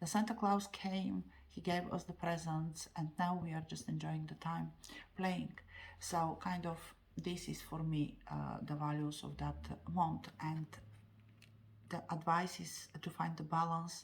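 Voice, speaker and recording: The speaker has a non-native accent and talks at a fairly slow pace. Long pauses come often. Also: woman. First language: not English. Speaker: tarot card reader. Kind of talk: tarot reading monologue. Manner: halting, many fillers.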